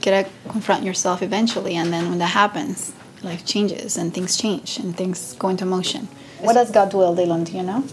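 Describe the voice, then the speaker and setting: A woman with a Spanish accent, medium-pitched, talking at a fairly quick pace over noticeable background noise. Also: ordinary pitch variation. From Venezuela. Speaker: matchmaker. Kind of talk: interview.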